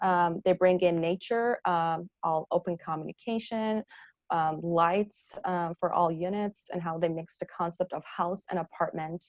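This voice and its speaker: A woman speaks at a fairly slow pace with a fairly low pitch and fairly even intonation. The sound is dry and close, with no echo. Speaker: architect giving a talk. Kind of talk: presentation with slides to an audience. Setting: festival talk with audience. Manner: hesitant, many fillers.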